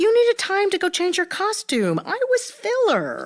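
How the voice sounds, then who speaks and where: Doing a put-on character voice, a woman squeaks at an extremely high pitch with lively intonation and a moderate pace. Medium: audio drama. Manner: stilted, long-winded.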